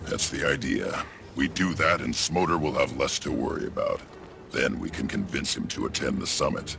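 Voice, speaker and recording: Putting on a character voice, a man talks at a moderate pace. Background noise is clearly heard. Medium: video game. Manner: gruff, commanding.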